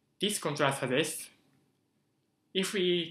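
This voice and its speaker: A man speaks at a fairly slow pace in a Japanese accent with a bright, sharp tone. There is audible room echo. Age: 20s. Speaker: youth climate activist. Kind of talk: prepared short talk. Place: office. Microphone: camera far.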